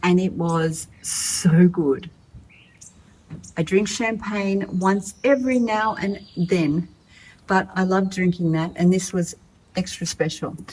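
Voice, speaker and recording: A woman with an Australian accent speaks very slowly in a somewhat breathy, medium-pitched voice, using ordinary pitch variation and long, frequent pauses. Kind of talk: casual talk to camera.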